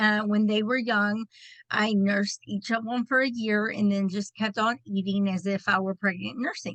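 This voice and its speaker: With a Texan accent, a woman talks at a moderate pace in a medium pitch with fairly even intonation, the sound dry and close with no echo. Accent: Texan twang. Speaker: direct sales director. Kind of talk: personal testimony.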